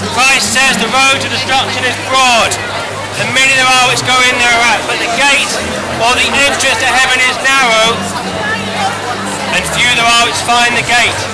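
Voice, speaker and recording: A man at a moderate pace with long, frequent pauses over loud background music. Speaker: street preacher. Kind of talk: open-air street preaching sermon. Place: street. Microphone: headset.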